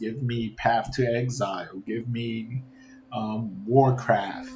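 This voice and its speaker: Fairly even intonation carries over music playing in the background. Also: man. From New York. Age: 50s. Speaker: gaming streamer. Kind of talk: casual rant.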